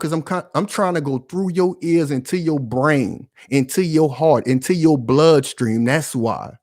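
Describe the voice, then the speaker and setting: In a very clean recording with a silent background, a man talks at a fairly slow pace in a fairly high pitch with ordinary pitch variation. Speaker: political commentary YouTuber. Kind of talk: impassioned commentary monologue. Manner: loud, yelling; animated, passionate.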